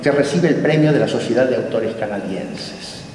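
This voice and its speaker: Over audible room echo, a man speaks at a moderate pace with lively intonation. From Buenos Aires, Argentina. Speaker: academy president. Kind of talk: formal welcome speech. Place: hall. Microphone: camera far.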